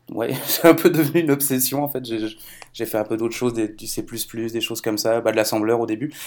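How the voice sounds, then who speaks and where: In a plain, everyday voice, a man speaks at a medium pitch with ordinary pitch variation. The recording is very clean, and the background is silent. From France. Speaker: software developer. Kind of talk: casual technical chat.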